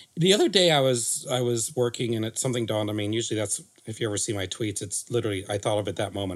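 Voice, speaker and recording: In a very clean recording with a silent background, a man with a fairly low pitch talks at a very fast pace in an animated tone, with ordinary pitch variation and hardly any pauses. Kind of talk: casual chat. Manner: jokey, animated.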